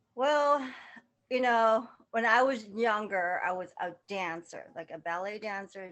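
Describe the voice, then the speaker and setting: This woman talks at a medium pitch with a slight Laotian accent. Her intonation is lively, her loudness swings widely, and the background is quiet. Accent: slight Laotian touch. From Southern California. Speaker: model and fashion stylist. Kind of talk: casual interview chat.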